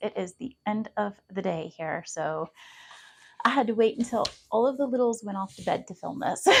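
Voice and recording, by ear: A woman's hoarse, put-on character voice, fairly high in pitch, with lively intonation and a moderate pace.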